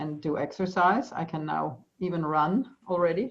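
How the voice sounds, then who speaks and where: With a German accent, a woman speaks at a fairly slow pace in a fairly low voice with ordinary pitch variation. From Austria. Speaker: EFT practitioner. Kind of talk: interview. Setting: video call. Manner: halting.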